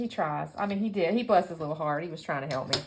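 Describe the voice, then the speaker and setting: The voice carries a Southern US accent. Its pitch varies in an ordinary way. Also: woman. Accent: Southern US twang. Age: 50s. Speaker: scrapbooking YouTuber. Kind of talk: casual crafting tutorial chat. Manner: chatty, rambling with self-corrections.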